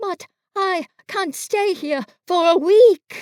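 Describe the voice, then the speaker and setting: A squeaky, put-on character voice from a woman, extremely high in pitch, at a very slow pace. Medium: read story.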